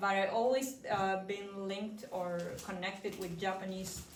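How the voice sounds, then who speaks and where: With audible room echo, a woman of medium pitch speaks at a fairly slow pace and with fairly even intonation. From Argentina. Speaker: artist. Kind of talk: prepared remarks at gallery event.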